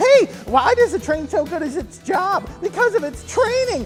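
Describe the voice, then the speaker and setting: An extremely high-pitched put-on character voice with very wide pitch swings and a moderate pace, over clear background music. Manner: annoying, joking.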